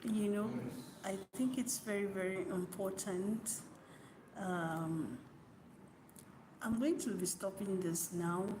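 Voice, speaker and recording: Against noticeable background noise and audible room echo, a soft-spoken woman talks at a very slow pace with long, frequent pauses and very even loudness. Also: medium pitch for a woman, ordinary pitch variation. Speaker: YouTuber. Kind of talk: motivational talk. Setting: at work, green screen.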